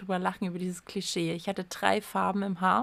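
A woman is speaking. Her pace is moderate. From Saxony, Erzgebirge. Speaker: podcast co-host. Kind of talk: casual chat.

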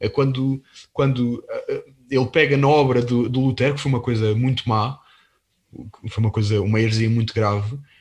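The speaker moves at a moderate pace with long, frequent pauses and a somewhat breathy voice. Loudness stays very even, and the intonation is fairly even too. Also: man, medium pitch for a man. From Portugal. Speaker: podcast host. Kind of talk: interview on religious topics. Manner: halting, repeats words.

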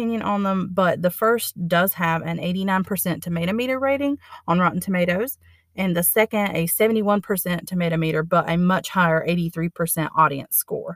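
In an ordinary speaking voice, a woman of medium pitch talks at a fairly quick pace with ordinary pitch variation, on a very clean recording with a silent background and a dry, close sound with no echo. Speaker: library staff podcast host. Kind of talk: scripted narration.

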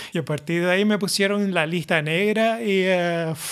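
A man's high-pitched voice with ordinary pitch variation on a very clean recording, silent background. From Canary Islands, Las Palmas (La Isleta). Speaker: solo podcaster. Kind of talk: casual monologue.

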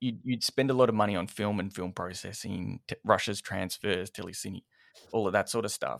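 With an Australian accent, a man talks at a fairly quick pace, his fairly low pitch held in fairly even intonation. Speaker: video editor, post-production. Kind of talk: casual interview.

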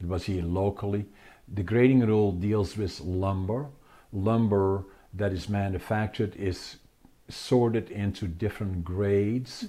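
A man with a Dutch accent speaks at a fairly slow pace in a fairly low pitch, his tone dark and mellow on a very clean recording with a silent background. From Netherlands. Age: 80s+. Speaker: author and entrepreneur. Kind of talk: interview.

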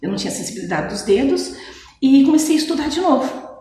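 Noticeable background noise and audible room echo accompany a woman speaking very fast. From Brazil, Mogi Mirim (São Paulo state). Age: 40s. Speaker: city councillor and police officer. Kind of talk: radio interview.

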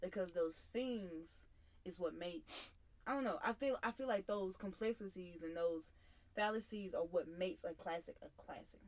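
Here a woman speaks at a medium pitch. Her pace is moderate and her pitch variation ordinary. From Mississippi. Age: 20s. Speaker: college student. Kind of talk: casual chat.

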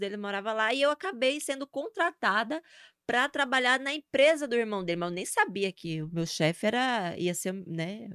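In a northeastern Brazilian accent, a woman speaks at a moderate pace with a bright, sharp, animated tone, fairly high pitch and lively intonation, the sound dry and close with no echo on a very clean recording with a silent background. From Brazil, Sergipe (Northeast). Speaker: social media influencer. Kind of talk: casual interview chat.

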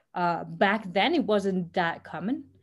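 A woman talks at a very slow pace with a Spanish accent. The recording is very clean, with a silent background. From Costa Rica. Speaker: startup co-founder. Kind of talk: interview.

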